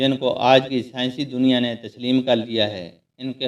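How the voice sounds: Behind the voice, the background is quiet. It is a natural reading voice.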